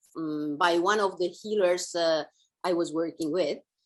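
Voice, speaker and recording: A woman in an Italian accent speaks with a fairly low pitch. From Italy. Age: 50s. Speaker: author and women's guide. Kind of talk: interview.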